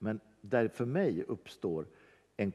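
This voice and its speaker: This man has a fairly low pitch and a dark, mellow tone. The background is quiet. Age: 60s. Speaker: church worker; guest. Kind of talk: casual chat. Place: church.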